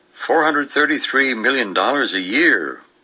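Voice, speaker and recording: With noticeable noise in the background, a man keeps a moderate pace. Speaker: radio show guest reading newspaper segment. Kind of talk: reading newspaper aloud and casual radio chat.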